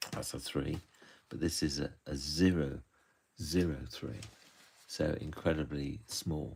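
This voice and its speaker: With a West Country accent, the voice carries vocal fry and ordinary pitch variation. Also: man. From southwest England, Bristol. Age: 70s. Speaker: author and illustrator. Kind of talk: live-stream drawing talk. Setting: live stream. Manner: halting, with fillers.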